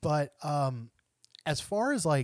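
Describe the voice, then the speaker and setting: A man on a very clean recording with a silent background, in a dry, close sound with no echo. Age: 40s. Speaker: podcast host, bassist. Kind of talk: scripted narration; casual chat.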